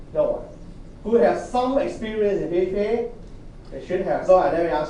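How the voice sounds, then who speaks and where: Male speech with audible room echo and noticeable background noise. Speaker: university lecturer. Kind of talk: lecture.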